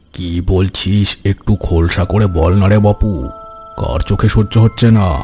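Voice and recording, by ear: A man's cartoonish character voice, fairly low in pitch and fairly even in intonation, at a moderate pace over clear background music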